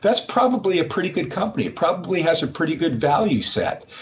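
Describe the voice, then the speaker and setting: A man with an American accent and a high pitch speaks at a fairly quick pace over noticeable background noise. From Massachusetts. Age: 60s. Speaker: company CEO. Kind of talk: interview. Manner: halting, many repeated words.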